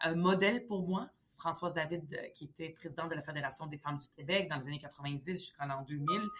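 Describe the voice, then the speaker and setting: A woman speaks at a fairly quick pace in a very deep, low pitch, with ordinary pitch variation. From Lebanon, then Montreal from age 10. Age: 40s. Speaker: politician. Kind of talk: interview. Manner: hesitant, many fillers.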